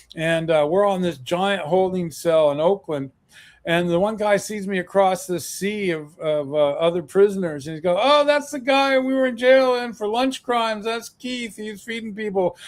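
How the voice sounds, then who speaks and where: The man's pitch sits high. His intonation is lively. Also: moderate pace. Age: 60s. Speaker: activist and author. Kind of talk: interview. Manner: halting, many fillers.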